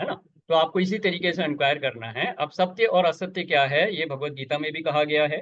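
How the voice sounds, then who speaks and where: A man's fairly high voice, a plain, everyday voice, with ordinary pitch variation and hardly any pauses. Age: 60s. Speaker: spiritual teacher. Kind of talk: spiritual satsang discussion. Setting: video call.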